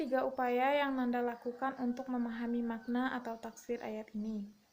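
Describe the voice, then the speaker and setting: A woman's high-pitched, monotone, flat delivery at a fairly slow pace. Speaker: university student. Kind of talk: oral exam answers. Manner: halting.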